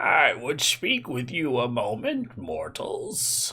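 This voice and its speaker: Very slowly, a raspy put-on character voice speaks over light background noise. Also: man, fairly high pitch for a man. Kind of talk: archaic. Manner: imposing, commanding.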